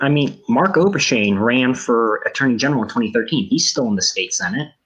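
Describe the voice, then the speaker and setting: A man speaks at a fairly quick pace and fairly high pitch, with very even loudness. His pitch swings very widely. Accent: American. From US, Washington DC area. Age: 20s. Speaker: election analyst. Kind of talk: live commentary.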